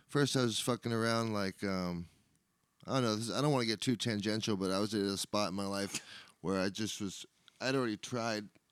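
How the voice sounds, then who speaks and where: A man with an American accent and a fairly low voice, fairly quick, dry and close with no echo, in a very clean recording with a silent background. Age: 30s. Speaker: sober living house manager. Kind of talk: casual chat. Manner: animated.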